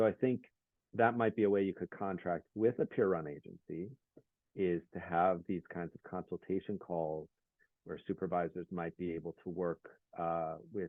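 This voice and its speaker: This quiet man has a very deep, low pitch, fairly even intonation and a moderate pace. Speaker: peer specialist program coordinator. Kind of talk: workshop presentation. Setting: video call.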